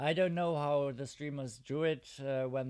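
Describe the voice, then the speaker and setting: In a Luxembourgish accent, the speaker sounds relaxed, moving at a fairly slow pace with ordinary pitch variation. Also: man. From Luxembourg, southern part. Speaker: mobile game streamer. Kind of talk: casual live game stream chat. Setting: live stream. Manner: relaxed, hesitant with fillers.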